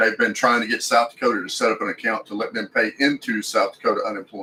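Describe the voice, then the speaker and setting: In a Texan accent, a man talks at a very fast pace. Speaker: RV lifestyle YouTuber. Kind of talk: livestream Q&A. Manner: casual, hesitant with repetitions.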